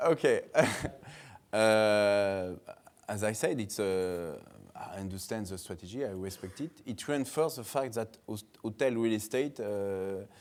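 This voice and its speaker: A man with a French accent talks fairly slowly at a fairly low pitch, with ordinary pitch variation. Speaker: hotel real estate investment executive. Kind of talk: conference panel discussion. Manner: halting, many hesitations.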